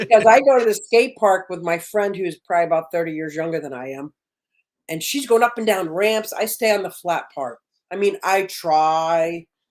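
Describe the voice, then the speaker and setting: A woman with an unremarkable speaking voice talks at medium pitch and a moderate pace, her intonation lively and her loudness swinging widely. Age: 60s. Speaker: fish keeper and content creator. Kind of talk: casual chat.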